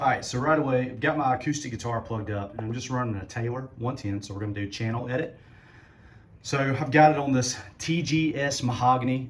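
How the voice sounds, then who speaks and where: With audible room echo, a man at a medium pitch talks at a very fast pace with ordinary pitch variation. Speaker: musician demonstrating PA gear. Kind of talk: tutorial. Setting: garage. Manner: casual, relaxed.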